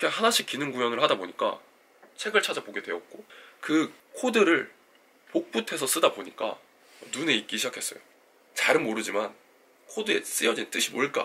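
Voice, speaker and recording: A man's fairly quick speech broken by long, frequent pauses. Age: 30s. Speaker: engineering graduate student and coding YouTuber. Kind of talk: scripted talk to camera.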